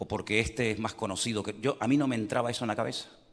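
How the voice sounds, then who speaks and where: An animated man, fairly low in pitch, very fast, in a very clean recording, silent background. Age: 60s. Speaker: pastor. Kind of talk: sermon.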